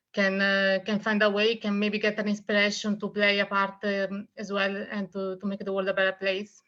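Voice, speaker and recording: With an Italian accent, a woman speaks at a moderate pace and a medium pitch in a bright, sharp tone. The background is quiet. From Italy. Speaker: author. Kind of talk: interview.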